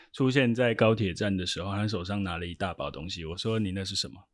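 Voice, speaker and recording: An ordinary speaking voice belongs to a man who talks at a fairly quick pace with lively intonation, on a very clean recording with a silent background. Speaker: sports team interpreter. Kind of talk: casual interview.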